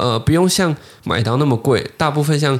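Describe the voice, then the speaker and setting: A man talks with vocal fry. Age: 20s. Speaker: podcast host, watch collector. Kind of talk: casual interview chat.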